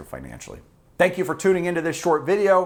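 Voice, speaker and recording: A man talks loudly in an American accent. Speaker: personal finance YouTuber. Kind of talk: direct-to-camera explainer video. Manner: loud, fired-up.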